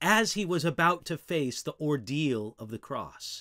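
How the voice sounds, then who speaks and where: Pitch swings very widely here, against a quiet background. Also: man. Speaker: Bible teacher. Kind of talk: teaching talk on a psalm. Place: home room.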